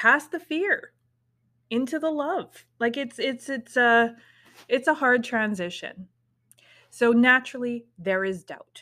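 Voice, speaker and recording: A woman's high, bright, sharp voice at a very slow pace, broken by long, frequent pauses. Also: lively intonation. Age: 40s. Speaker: spiritual podcast host and tarot reader. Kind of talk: casual solo monologue. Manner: casual, with laughs and sighs.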